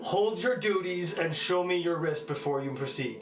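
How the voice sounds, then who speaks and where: With clear background noise behind him, a man does a put-on character voice, high-pitched and at a moderate pace. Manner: intimidating, commanding.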